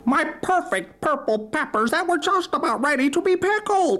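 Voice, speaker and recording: This is a squeaky, put-on character voice with a high pitch. The pace is moderate. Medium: read story. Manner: excitable, shrill.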